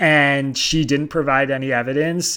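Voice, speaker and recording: With an American accent, a man speaks in a monotone, flat intonation at a fairly high pitch on a very clean recording with a silent background. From Pennsylvania (Bucks County), US. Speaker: political reporter and newsletter founder. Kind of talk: interview.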